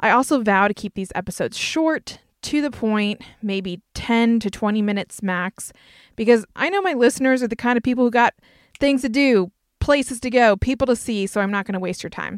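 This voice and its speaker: A woman's fairly high voice in a slight Southern US accent, ordinary pitch variation, dry and close with no echo. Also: fairly quick pace, very clean recording, silent background. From North Carolina. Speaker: podcast host, speaker and entrepreneur. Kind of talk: podcast trailer, scripted intro.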